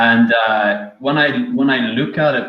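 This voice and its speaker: In an Irish accent, a man speaks at a medium pitch. His intonation is lively. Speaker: software developer. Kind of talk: casual chat.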